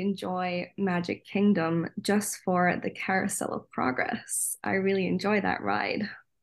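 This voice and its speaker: Someone speaks in a Scottish accent at a fairly slow pace with ordinary pitch variation. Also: woman, hardly any pauses. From Scotland. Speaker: theme park worker on cultural exchange. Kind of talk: casual chat.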